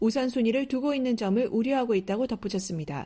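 A woman's high-pitched voice has a dark, mellow tone. The background is quiet. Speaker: reporter and interviewer. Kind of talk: news report and interview.

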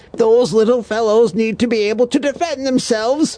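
In a smug, pompous tone, a man speaks at an extremely high pitch. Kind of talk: comic audio drama. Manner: smug, gleeful, pompous.

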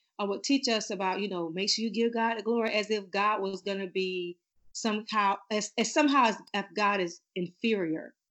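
In a plain, everyday voice, a woman with an American accent talks at a moderate pace, her pitch medium and its variation ordinary. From Florida, US. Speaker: singer and author. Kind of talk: casual interview chat.

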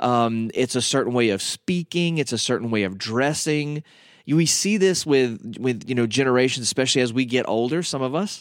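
A man with a Southern US accent speaks at a medium pitch. His pace is moderate and his pitch variation ordinary. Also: very clean recording, silent background. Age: 40s. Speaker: radio host and minister. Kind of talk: teaching talk. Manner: casual, with many fillers.

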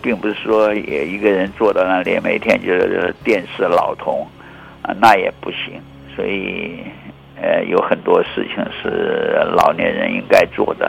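The speech goes at a fairly slow pace against noticeable background noise. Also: man. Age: 80s. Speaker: meteorologist. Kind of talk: interview. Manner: halting, with frequent fillers.

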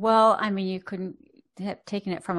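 A woman speaks at medium pitch and a moderate pace. Her intonation is monotone and flat. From US, Boston. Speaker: podcast host, psychologist. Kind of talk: interview conversation.

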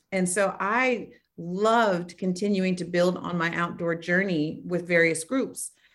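At a fairly slow pace, a woman with a plain, everyday voice speaks at a fairly low pitch with fairly even intonation. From Oakland, California. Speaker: nonprofit founder and author. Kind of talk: interview.

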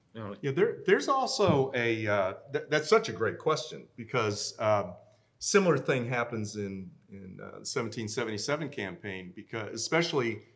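A man talks at medium pitch and a moderate pace with an American accent. He has an ordinary speaking voice. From Minnesota. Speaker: military historian, retired army colonel. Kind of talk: panel talk. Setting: stage with live audience.

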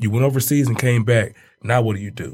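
Somewhat breathy, a man speaks at medium pitch and a fairly quick pace. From Detroit. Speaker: basketball coach. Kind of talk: casual chat.

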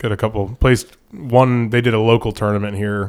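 In a very clean recording with a silent background, a man with an American accent speaks at a fairly slow pace in a fairly low pitch and flat monotone. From Florida, Sarasota. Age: 30s. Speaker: fishing guide. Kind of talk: casual chat.

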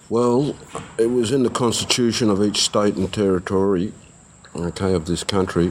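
Moderate pacing from a man with a fairly low pitch and ordinary pitch variation, noticeable background noise around him. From Netherlands. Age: 40s. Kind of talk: life story interview. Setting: recorded interview with didgeridoo in background.

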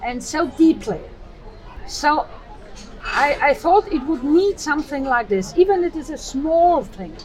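A woman with an Austrian accent speaks at a high pitch with lively intonation and big swings in loudness. She leaves long, frequent pauses, and noticeable background noise is present. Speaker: choir director and singer. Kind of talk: casual interview. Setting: outdoor cafe by harbor.

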